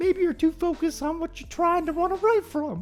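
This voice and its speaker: The speaker puts on a character voice at an extremely high pitch. The pace is fairly quick. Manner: gentle, advising.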